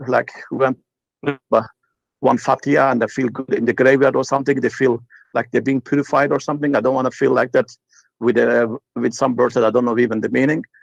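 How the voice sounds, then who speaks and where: A man with a Turkish accent at medium pitch, fairly quick pace with long, frequent pauses, very even loudness and a monotone, flat intonation. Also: dry, close sound with no echo. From Turkey. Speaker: caller. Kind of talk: casual chat. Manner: halting.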